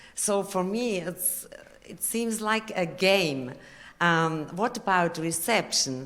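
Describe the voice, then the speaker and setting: A woman with a non-native accent speaks at a very slow pace and medium pitch. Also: ordinary pitch variation, big swings in loudness. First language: not English. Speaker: conference audience member. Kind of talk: question from the audience. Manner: halting.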